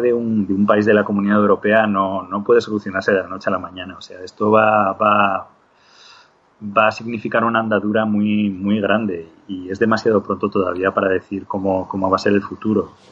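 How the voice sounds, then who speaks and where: A man talks at a fairly low pitch in a normal speaking voice. His pace is moderate. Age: 40s. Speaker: digital compositor. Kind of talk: interview.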